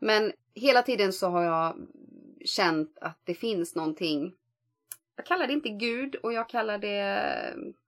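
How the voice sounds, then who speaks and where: At a fairly slow pace, a woman speaks at medium pitch with very wide pitch swings and long, frequent pauses. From rural Sweden. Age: 40s. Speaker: podcast host. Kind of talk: casual chat.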